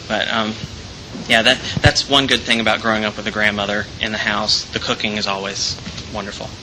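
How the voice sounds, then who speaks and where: A man with an American accent speaks at a fairly quick pace in a monotone, flat intonation. Noticeable background noise runs underneath. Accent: Southern US accent, mostly hidden, sneaks in. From Alabama, near Birmingham. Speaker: theater student. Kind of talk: personal storytelling. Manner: hesitant, many fillers and repeats.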